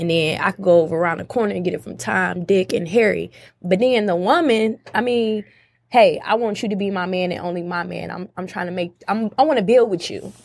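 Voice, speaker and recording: At a fairly quick pace and medium pitch, a woman with an unremarkable speaking voice shows ordinary pitch variation and big swings in loudness on a very clean recording with a silent background. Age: 20s. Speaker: podcast guest. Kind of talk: casual chat.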